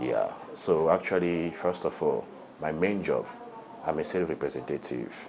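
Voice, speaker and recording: At a moderate pace, a man speaks with long, frequent pauses over noticeable background noise. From Angola. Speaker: reality TV contestant. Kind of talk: interview.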